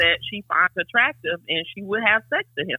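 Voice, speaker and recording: With lively intonation, a woman in an ordinary speaking voice and fairly high pitch talks at a moderate pace. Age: 40s. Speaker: caller. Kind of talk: casual chat. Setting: phone call.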